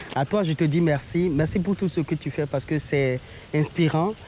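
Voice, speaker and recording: Here a man speaks with fairly even intonation. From Benin. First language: Beninese local language (speaking French). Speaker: travel agency owner. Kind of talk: interview. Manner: halting.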